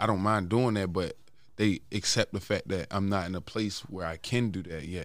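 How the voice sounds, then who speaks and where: At a fairly quick pace, a man with an American accent and an ordinary speaking voice talks at a fairly low pitch with fairly even intonation, in a very clean recording with a silent background. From West Baltimore, Maryland. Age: 20s. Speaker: rapper. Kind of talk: casual chat.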